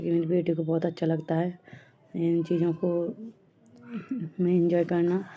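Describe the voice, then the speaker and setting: Speaking at a fairly slow pace with long, frequent pauses, a woman keeps a fairly low pitch and monotone, flat intonation. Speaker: vlogger. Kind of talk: vlog narration. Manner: halting.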